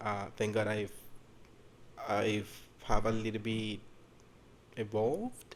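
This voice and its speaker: Speaking very slowly, a man talks with a Spanish accent. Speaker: podcast co-host, hotel worker. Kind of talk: casual chat.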